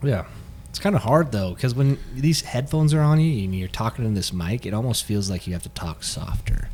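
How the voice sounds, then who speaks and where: At a fairly quick pace, a man with an unremarkable speaking voice talks at a medium pitch with lively intonation. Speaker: fitness podcast co-host. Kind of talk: casual chat. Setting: studio with headphones and mics.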